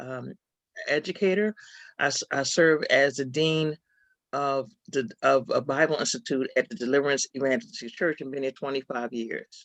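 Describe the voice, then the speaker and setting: The speaker has an American accent, a moderate pace and ordinary pitch variation. The sound is dry and close with no echo, over a quiet background. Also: woman. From Philadelphia, US. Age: 60s. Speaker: author and Bible institute dean. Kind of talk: interview.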